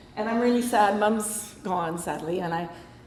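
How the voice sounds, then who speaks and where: In a Canadian accent, a woman speaks at a fairly high pitch, with noticeable background noise and audible echo from the room. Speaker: author. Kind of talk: talk to a club. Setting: meeting hall with audience and microphone. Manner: casual, conversational.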